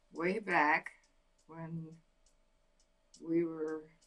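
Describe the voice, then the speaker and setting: Speaking at a fairly low pitch, the woman has an American accent. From Oregon, USA. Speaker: oral history interviewee. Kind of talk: interview answer. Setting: at home.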